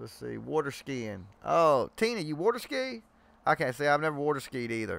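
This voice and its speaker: A strong Southern US accent comes through with very wide pitch swings. The recording is very clean with a silent background. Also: man, fairly high pitch for a man, moderate pace, big swings in loudness. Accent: strong Southern country. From Georgia, US South. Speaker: live stream host. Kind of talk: casual chat. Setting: live stream video chat.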